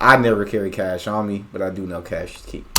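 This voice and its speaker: With a bright, sharp tone and fairly low pitch, a man speaks at a moderate pace amid audible room echo. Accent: American. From United States. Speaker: reaction youtuber. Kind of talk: reaction commentary.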